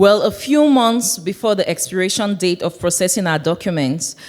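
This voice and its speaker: At a moderate pace, a woman with a Cameroonian accent speaks at a medium pitch with ordinary pitch variation. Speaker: church member sharing testimony. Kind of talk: testimony.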